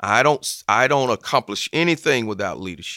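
A man in a Southern US accent, bright and sharp in tone, with lively intonation and a dry, close sound with no echo, in a very clean recording with a silent background. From US South, Georgia/Alabama border. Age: 50s. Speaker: football chaplain and former pro player. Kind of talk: interview testimony.

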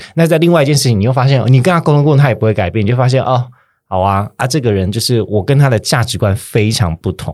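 A man talks very fast at a medium pitch, with lively intonation. The recording is very clean, with a silent background. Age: 30s. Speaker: podcast host. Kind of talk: casual chat.

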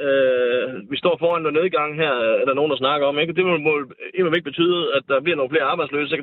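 A man's fairly high-pitched voice. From North Jutland, Denmark. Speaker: bricklayer and union member. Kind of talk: political debate. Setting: phone call. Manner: halting, repeats words.

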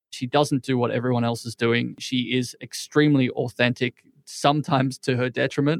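Recorded very cleanly with a silent background and a dry, close sound with no echo, this man has an unremarkable speaking voice. His pitch is medium, his intonation fairly even and his pace fairly quick. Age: 30s. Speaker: entrepreneur and biohacker. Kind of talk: interview.

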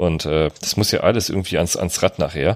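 This man talks at a fairly quick pace in a very deep, low voice. The sound is dry and close with no echo, on a very clean recording with a silent background. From Germany, North Rhine-Westphalia. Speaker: podcast host. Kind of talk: casual chat.

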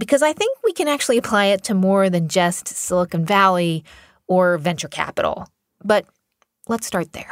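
In a normal speaking voice, a woman at medium pitch speaks with lively intonation at a moderate pace, the sound dry and close with no echo. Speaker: podcast host. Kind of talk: interview.

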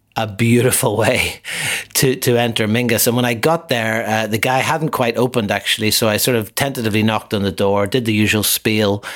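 Noticeable background noise sits behind a man speaking at a fairly quick pace and medium pitch. His loudness is very even and his intonation fairly even. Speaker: podcast co-host, jazz bar photographer. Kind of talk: casual chat. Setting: home kitchen, remote recording. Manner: quieter than usual.

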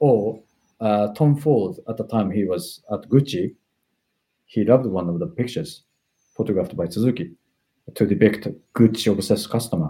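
With a Japanese accent, the speaker has a dark, mellow tone and lively intonation, moving at a moderate pace with long, frequent pauses. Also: man, fairly low pitch for a man. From Japan, Tokyo. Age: 40s. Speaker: fashion stylist. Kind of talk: interview. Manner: hesitant, many fillers.

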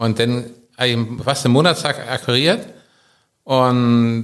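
This is a man speaking. His pitch is medium. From Germany, Berlin. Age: 50s. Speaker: business owner. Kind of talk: interview. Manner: halting.

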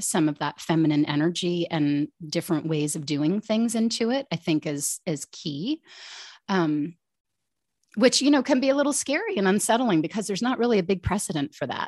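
In an American accent, a woman speaks at a moderate pace with lively intonation, the sound dry and close with no echo against a quiet background. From US, outside Washington DC. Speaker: coach for women. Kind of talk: casual interview chat.

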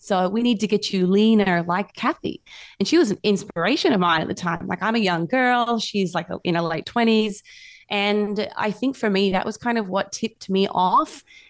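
With an Australian accent, a woman talks at a moderate pace in a medium pitch with ordinary pitch variation, on a very clean recording against a silent background. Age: 30s. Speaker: fitness coach. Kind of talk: interview.

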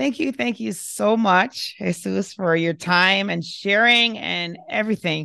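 A woman with a bright, sharp tone and a warm, enthusiastic tone speaks at a fairly slow pace with lively intonation over a quiet background. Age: 40s. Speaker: podcast host and emergency physician. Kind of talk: interview conversation.

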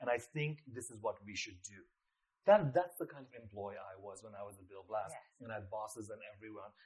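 A somewhat breathy male voice with big swings in loudness. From Nepal. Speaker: fashion designer. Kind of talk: interview conversation. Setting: face to face.

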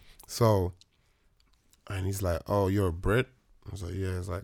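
Over a silent background in a very clean recording, a man with a London accent speaks in a very deep, low pitch with monotone, flat intonation. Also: long, frequent pauses. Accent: London Multicultural English. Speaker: actor. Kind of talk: casual chat.

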